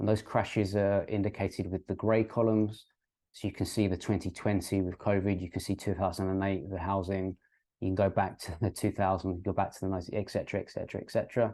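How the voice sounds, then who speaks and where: A man in a British accent, fairly low-pitched with a dark, mellow tone, flat and monotone at a very fast pace, against a quiet background. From UK. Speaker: crypto and finance YouTuber. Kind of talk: educational explainer with graphs. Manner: hesitant, many ums and uhs.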